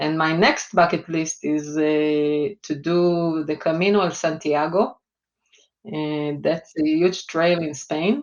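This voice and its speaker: The speaker has an Israeli accent. The pace is very slow. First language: Hebrew. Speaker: finance executive. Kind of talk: interview. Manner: hesitant, many fillers.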